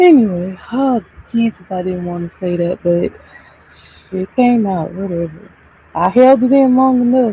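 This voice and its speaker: Soft-spoken, a woman uses lively intonation at a medium pitch with long, frequent pauses, while noticeable background noise is present. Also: moderate pace. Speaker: live streamer. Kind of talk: casual chat.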